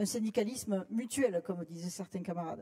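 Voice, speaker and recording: A woman with a Toulouse accent talks at a fairly quick pace in a somewhat breathy, dark, mellow tone with ordinary pitch variation. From southern France, Toulouse. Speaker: trade union delegate. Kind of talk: congress floor speech.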